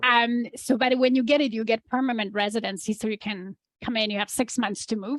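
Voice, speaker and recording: In a Polish accent, a woman speaks at a fairly quick pace with a fairly high pitch and fairly even intonation, the sound dry and close with no echo. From Poland. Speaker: entrepreneur. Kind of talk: interview.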